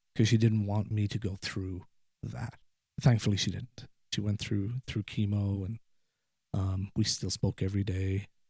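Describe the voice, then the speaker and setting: Somewhat breathy and fairly low, a man's voice moves at a moderate pace with fairly even intonation on a very clean recording with a silent background. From Ireland. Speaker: guest sharing personal story. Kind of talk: podcast interview, personal story. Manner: halting, repeats words.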